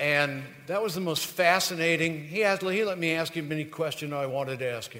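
Over noticeable background noise, a man with a fairly high, warm voice talks at a fairly quick pace with ordinary pitch variation. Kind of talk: live stage emcee address to banquet crowd. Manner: warm, conversational, hesitant with uh's, proud.

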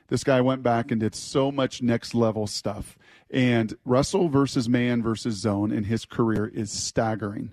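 A man with a plain, everyday voice at medium pitch talks at a moderate pace with ordinary pitch variation, in a dry, close sound with no echo. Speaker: sports radio host. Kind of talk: sports radio discussion. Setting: studio.

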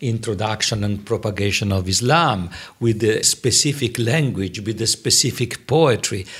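The intonation is lively and the delivery somewhat breathy. The pace is fairly slow. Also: man. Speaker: UN officer and podcast host. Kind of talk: interview chat.

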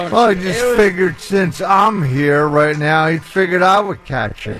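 With an American accent, a man speaks at a moderate pace and high pitch with lively intonation over noticeable background noise. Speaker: radio producer, board operator. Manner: loud.

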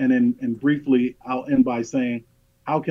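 In an unremarkable speaking voice, a man talks at medium pitch and a moderate pace. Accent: American. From US, Los Angeles and North Philadelphia. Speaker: state civil rights agency director. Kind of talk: radio interview.

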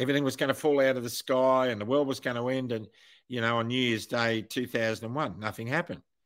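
A man with an Australian accent at a medium pitch and fairly quick pace, ordinary pitch variation, on a very clean recording with a silent background. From Australia, Wollongong (New South Wales). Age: 60s. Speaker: retired airline pilot. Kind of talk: interview. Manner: halting, repeats words.

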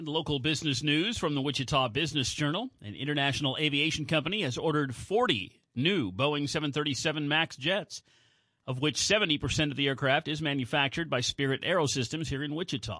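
Against a quiet background, a man talks at a fairly quick pace in a bright, sharp tone, his pitch fairly high with ordinary variation. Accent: American. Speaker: radio co-host and sports announcer. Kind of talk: radio newscast and sports update.

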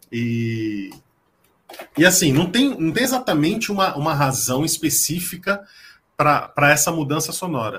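A fairly high-pitched man talks fairly slowly, with long, frequent pauses. His tone is bright and sharp, and his pitch swings very widely. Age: 40s. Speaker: music enthusiast, social media music commentator. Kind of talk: casual chat. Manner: halting, frequent repetitions.

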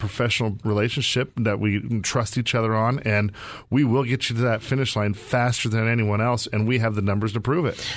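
In an American accent, a man with a medium-pitched voice speaks with fairly even intonation. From Arizona. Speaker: radio host and real estate wealth manager. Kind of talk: casual chat with promotional segment. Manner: halting, repeating words.

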